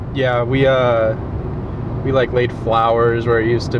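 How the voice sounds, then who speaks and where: A man at a moderate pace, with noticeable background noise and a dry sound with no echo. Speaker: actor playing a passenger friend. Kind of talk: scripted casual conversation. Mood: relaxed, reminiscing. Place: car.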